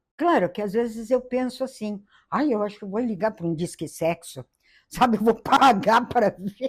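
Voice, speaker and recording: Somewhat breathy, a woman talks at a moderate pace with a fairly high pitch. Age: old. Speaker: interviewee in documentary. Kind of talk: interview testimony.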